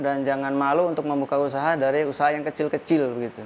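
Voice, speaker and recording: Pitched fairly high, a man talks with monotone, flat intonation. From West Java, Indonesia. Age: 40s. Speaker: street drink vendor. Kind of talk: interview testimony. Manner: hesitant, frequent fillers.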